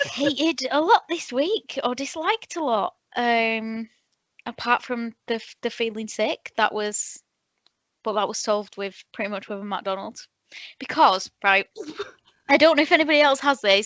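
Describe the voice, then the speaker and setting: In an ordinary speaking voice, a woman with a fairly high pitch talks at a moderate pace with lively intonation. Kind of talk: casual podcast conversation.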